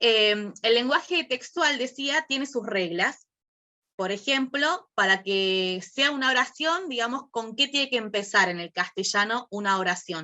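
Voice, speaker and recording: Here is a woman with a normal speaking voice and a fairly high pitch. Her intonation is lively and her pace fairly slow. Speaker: workshop teacher. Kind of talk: online class.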